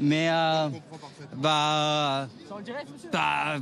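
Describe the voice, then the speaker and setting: A man speaks with an English Canadian accent and a fairly high pitch. Music plays in the background. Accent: English-speaking Canadian accent in French. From Canada. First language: English (speaking French). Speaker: tourist interviewed on street. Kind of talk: street interview. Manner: halting.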